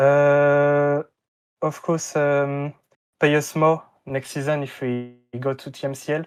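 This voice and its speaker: Over music in the background, a man with a French accent talks very slowly in a fairly high, monotone, flat voice, leaving long, frequent pauses. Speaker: esports player. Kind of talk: interview. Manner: halting, many fillers.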